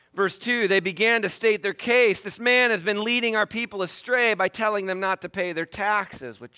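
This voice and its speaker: Projecting a raised voice, a man with high pitch and a bright, sharp tone speaks at a moderate pace. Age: 40s. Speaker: pastor. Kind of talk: sermon.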